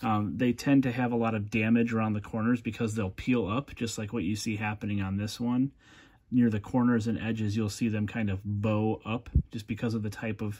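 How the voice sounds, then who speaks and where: Monotone, flat intonation comes at a fairly quick pace over light background noise. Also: man, fairly low pitch for a man. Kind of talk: casual commentary. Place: home room. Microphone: phone near.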